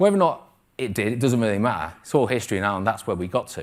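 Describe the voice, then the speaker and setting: This man speaks at a fairly quick pace. The recording is very clean, with a silent background. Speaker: trading mentor. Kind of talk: live presentation. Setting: stage with audience. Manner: fast.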